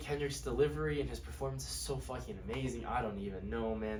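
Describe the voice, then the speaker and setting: A man speaks over noticeable background noise. The room echo is audible. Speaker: music reviewer YouTuber. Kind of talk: casual monologue review. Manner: fast; animated.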